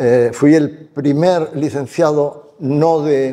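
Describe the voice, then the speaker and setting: A man's fairly high, dark and mellow voice with fairly even intonation. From Spain, Barcelona (Catalonia). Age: 70s. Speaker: retired business executive and investor. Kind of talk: onstage interview.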